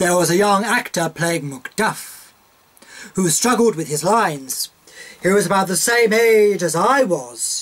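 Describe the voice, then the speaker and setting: The intonation is lively and the pace fairly slow. Noticeable background noise runs underneath. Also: man, high pitch for a man. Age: 60s. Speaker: interviewee recounting life story. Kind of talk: biographical interview.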